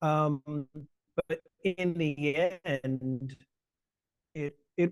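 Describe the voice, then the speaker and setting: A man with a South Carolina Lowcountry accent is heard in a dry, close sound with no echo. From US South, Charleston South Carolina, Gullah Geechee. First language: Gullah. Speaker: lecturer and language justice activist. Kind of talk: webinar talk. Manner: halting, many fillers and restarts.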